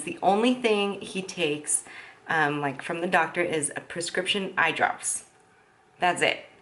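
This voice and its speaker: In an unremarkable speaking voice, a woman talks at a fairly slow pace with fairly low pitch and ordinary pitch variation. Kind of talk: casual vlog talk to camera. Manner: upbeat.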